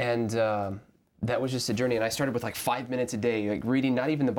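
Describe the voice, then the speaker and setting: Intonation holds fairly even throughout. The man speaking has an American accent. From US South, Arkansas. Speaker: seminary student. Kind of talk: Bible study discussion.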